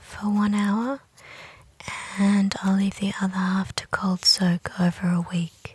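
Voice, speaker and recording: The voice is soft-spoken and very slow. Noticeable background noise runs underneath. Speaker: natural dyer. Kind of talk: casual crafting narration.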